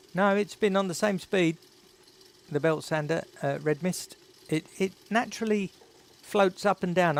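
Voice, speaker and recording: Ordinary pitch variation marks a man's high-pitched speech. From England, North East London. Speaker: YouTuber. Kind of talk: live stream chat. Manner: casual, chatty.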